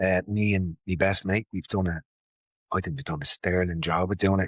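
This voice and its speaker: In a Dublin accent, a man with a very deep, low voice speaks at a moderate pace with fairly even intonation, the sound dry and close with no echo and the background quiet. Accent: Dublin Irish. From Ireland, Dublin (Ballymun). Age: 50s. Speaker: martial arts instructor and mental health advocate. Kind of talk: casual chat.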